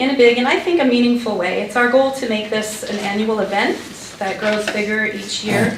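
Noticeable background noise is present. Audible room echo can also be heard. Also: woman. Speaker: public commenter at council meeting. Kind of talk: public comment presentation. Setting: town council meeting.

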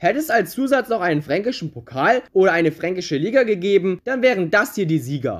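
Delivered at a fairly quick pace with hardly any pauses, the speech sits in a very clean recording with a silent background. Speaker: football YouTuber. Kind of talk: scripted narration. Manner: swallows letters, imperfect pronunciation.

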